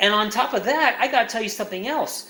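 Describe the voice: Audible room echo surrounds a man talking at a fast pace, high-pitched with a bright, sharp tone and ordinary pitch variation.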